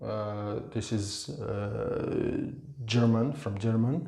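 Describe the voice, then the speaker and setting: A man with an East African accent speaks at a very slow pace. Audible room echo surrounds his voice. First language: Swahili. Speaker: language teacher. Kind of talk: tutorial. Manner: halting.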